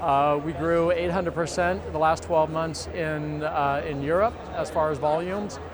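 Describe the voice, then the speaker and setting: A man with an American accent talks at a fairly high pitch, his intonation fairly even. Noticeable background noise and audible room echo come through. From United States. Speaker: company CEO. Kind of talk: conference interview. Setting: industry conference.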